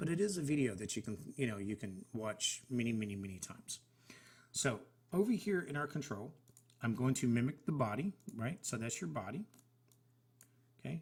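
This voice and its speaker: A somewhat breathy man at a medium pitch speaks with very wide pitch swings and long, frequent pauses. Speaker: software tutorial creator. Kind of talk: screen-share tutorial. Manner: fast.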